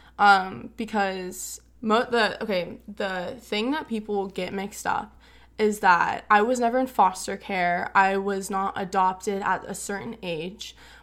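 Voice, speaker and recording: At a fairly slow pace and with hardly any pauses, a woman of medium pitch speaks in fairly even intonation on a very clean recording with a silent background. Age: young. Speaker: recent high school graduate. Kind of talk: casual chat.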